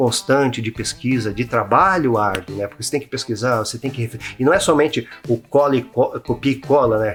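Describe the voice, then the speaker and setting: A man talks with normal ups and downs in pitch. Background music can be heard. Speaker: YouTube host, freemason teacher. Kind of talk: casual explanatory monologue. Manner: fast; halting, many fillers.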